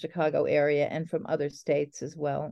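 A woman speaks with an American accent at a very deep, low pitch. Her pace is moderate. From New Jersey, near New York City. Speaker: poet. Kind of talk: interview.

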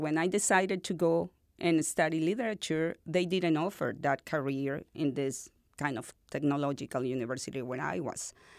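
On a very clean recording with a silent background, a woman with a Spanish accent speaks at a moderate pace, her fairly low voice showing ordinary pitch variation. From northern Venezuela. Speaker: university dean, literature scholar. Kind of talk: interview.

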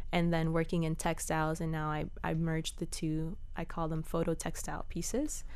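A woman at a moderate pace with fairly even intonation and audible room echo. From Miami, south Dade. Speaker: artist and fashion designer. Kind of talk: interview.

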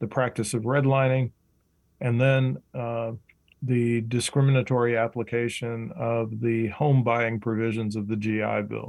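A normal speaking voice from a man at a medium pitch and a fairly slow pace, on a very clean recording with a silent background. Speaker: professor and author. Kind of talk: interview.

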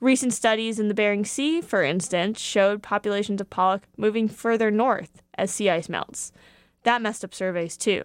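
Over a silent background in a very clean recording, a woman with a plain, everyday voice speaks at a moderate pace, her pitch medium and its variation ordinary. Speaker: radio reporter. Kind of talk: formal newsreading, scripted radio feature. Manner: formal; measured and clear.

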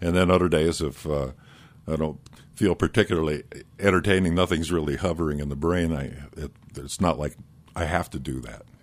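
A man with a very deep, low pitch and vocal fry talks at a fairly quick pace, with fairly even intonation. He leaves long, frequent pauses, and his loudness swings widely. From Iowa. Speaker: radio morning host and musician. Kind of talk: casual chat. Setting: studio.

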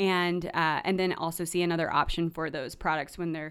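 Set against a very clean recording with a silent background, an ordinary speaking voice with an American accent moves at a moderate pace with fairly even intonation. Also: woman. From US South, North Carolina. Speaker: nonprofit education director. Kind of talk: radio interview.

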